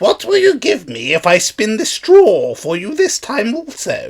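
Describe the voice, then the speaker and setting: A man uses a put-on character voice at an extremely high pitch. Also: moderate pace. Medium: read story. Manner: sly, bargaining.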